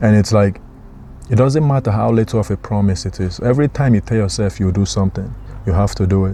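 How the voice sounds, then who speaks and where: A man with a non-native accent talks at a very fast pace, fairly low in pitch with ordinary pitch variation. His tone is dark and mellow, and somewhat breathy. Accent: noticeable foreign. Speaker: motivational vlogger. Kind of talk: motivational talk.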